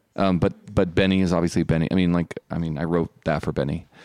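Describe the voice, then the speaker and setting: A man talks at a fairly quick pace in an American accent, his pitch very deep and low. The sound is dry and close, with no echo. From Utah. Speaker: filmmaker. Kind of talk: panel interview. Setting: film festival. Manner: casual, hesitant.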